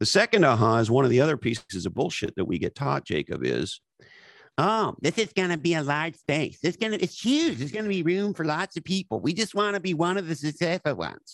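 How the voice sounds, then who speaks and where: A man with a fairly high voice whose pitch swings very widely, speaking at a fairly quick pace with vocal fry. The recording is very clean, with a silent background. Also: dry, close sound with no echo. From Canada, Montreal area. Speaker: author and former marketing executive. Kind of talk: interview. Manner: animated.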